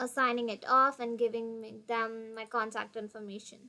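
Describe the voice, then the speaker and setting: A woman speaks with a Tamil accent at a fairly high pitch. Her tone is bright and sharp. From India (Tamil-speaking). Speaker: international student / vlogger. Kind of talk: tutorial.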